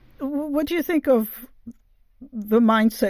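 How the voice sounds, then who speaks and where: A woman speaks fairly slowly, recorded very cleanly against a silent background. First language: not English. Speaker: podcast host interviewing writers. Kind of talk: interview.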